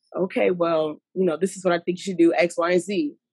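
A woman in a normal speaking voice at a fairly quick pace. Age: 20s. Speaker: podcast guest. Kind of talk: casual chat.

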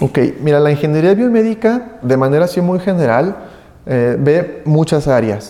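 Keeping his loudness very even at a moderate pace, a man speaks at a fairly high pitch with very wide pitch swings. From Mexico, Aguascalientes. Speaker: biomedical engineer. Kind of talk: interview.

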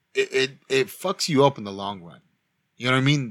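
Over a very clean recording with a silent background, a man talks at a very fast pace in a medium pitch. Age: 30s. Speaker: podcast co-host. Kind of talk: casual chat.

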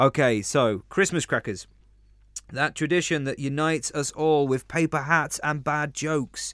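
A man with a London accent speaks at a fairly high pitch and a moderate pace. The recording is very clean, with a silent background. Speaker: podcast co-host. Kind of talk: casual chat; scripted narration. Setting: studio.

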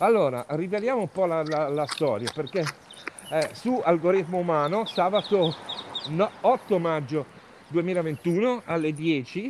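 A man's high-pitched voice at a very slow pace with lively intonation and long, frequent pauses, over noticeable background noise. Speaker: podcast host. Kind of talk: interview. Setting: outdoors, walking in the street.

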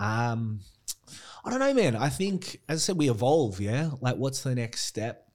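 In an Australian accent, a man at a medium pitch speaks at a moderate pace on a very clean recording with a silent background. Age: 30s. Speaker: gym owner. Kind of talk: casual interview chat.

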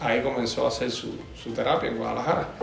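Noticeable background noise and audible room echo surround a man who talks with a slight Cuban accent. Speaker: physical therapy lecturer. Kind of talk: interview. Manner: halting.

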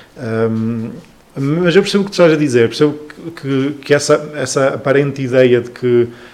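A man with a fairly high voice talks at a moderate tempo, his pitch varying in an ordinary way, while noticeable noise fills the background. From northern Portugal, Trás-os-Montes (Chaves). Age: 20s. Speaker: cultural association founder. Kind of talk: casual interview. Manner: halting with many fillers.

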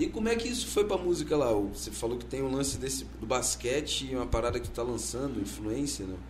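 A man rushes along at a very fast pace with hardly any pauses, amid noticeable background noise and audible room echo. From Vitória, Espírito Santo. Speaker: podcast host. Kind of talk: casual chat.

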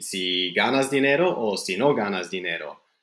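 The speaker talks with a Flemish accent. The recording is very clean, with a silent background. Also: man. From English-speaking Canada. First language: Flemish (speaking Spanish). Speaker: English teacher and writer. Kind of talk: casual interview. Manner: halting.

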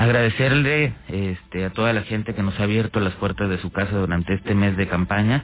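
Over noticeable background noise, a man with a fairly low pitch speaks at a fairly quick pace with ordinary pitch variation. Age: 40s. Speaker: political candidate. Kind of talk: radio interview. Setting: radio studio.

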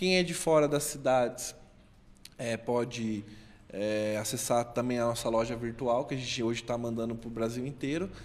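Medium pitch, ordinary pitch variation and a moderate pace from a man with an ordinary speaking voice. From Brazil, interior of São Paulo state. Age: 30s. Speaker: startup founder and digital marketer. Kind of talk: interview. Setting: studio.

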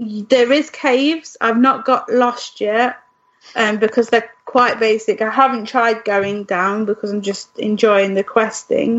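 The speaker uses an ordinary speaking voice at a fairly slow pace. Intonation remains fairly even. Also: woman, fairly high pitch for a woman. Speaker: podcast co-host. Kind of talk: casual chat.

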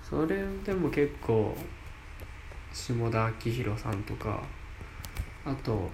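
A man at a very slow pace, with ordinary pitch variation and audible room echo. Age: 20s. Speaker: amateur radio app podcaster, university student. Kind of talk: solo casual talk. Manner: casual, chatty.

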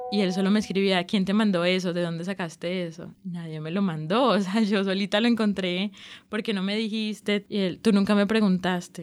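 The recording is very clean with a silent background. A woman speaks at a medium pitch and a moderate pace. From Colombian Caribbean coast, Barranquilla. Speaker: journalism student telling her love story. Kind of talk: personal testimony interview. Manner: halting, with repetitions and fillers.

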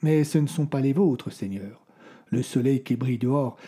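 This man, with an unremarkable speaking voice, holds a medium pitch and a moderate pace on a very clean recording with a silent background. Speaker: storyteller narrator of audio fiction. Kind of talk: scripted dramatic narration of a medieval horror tale. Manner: changes tone to voice the characters: the old troubadour's prophecy, then the lord's rage.

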